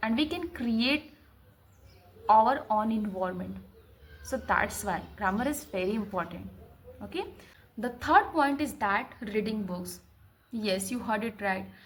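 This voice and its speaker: A woman speaks with vocal fry and lively intonation, leaving long, frequent pauses. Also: fairly high pitch for a woman, fairly slow pace. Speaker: English learner vlogger. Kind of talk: tutorial. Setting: home recording to camera.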